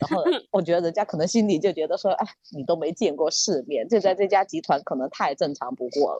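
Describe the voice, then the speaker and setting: With a dark, mellow tone and fairly low pitch, a woman talks at a fairly quick pace with lively intonation in a dry, close sound with no echo. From Sichuan. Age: middle-aged. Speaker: podcast guest. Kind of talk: casual chat.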